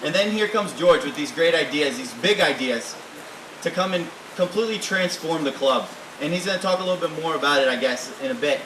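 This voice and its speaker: Over noticeable background noise, a man with a high pitch and an animated tone speaks at a fairly quick pace, with ordinary pitch variation. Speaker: recent graduate, introducing speaker. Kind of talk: introduction speech. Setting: reception at private estate, with audience.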